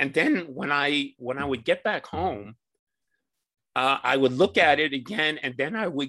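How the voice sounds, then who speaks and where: A man's plain, everyday voice with an American accent, fairly high in pitch, at a moderate pace with ordinary pitch variation. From New York City. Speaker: wilderness trekker and author. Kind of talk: interview.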